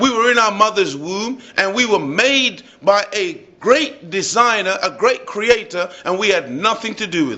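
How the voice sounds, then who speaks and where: An animated man with a high-pitched voice, over noticeable background noise. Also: lively intonation, moderate pace, hardly any pauses. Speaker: religious speaker. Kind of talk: speech to live audience.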